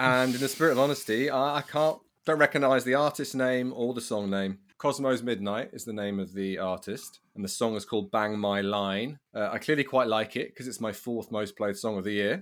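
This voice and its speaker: Over a very clean recording with a silent background, a man with a British accent talks at a fairly quick pace, with a medium pitch and ordinary pitch variation. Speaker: podcast co-host. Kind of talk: casual chat. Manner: animated.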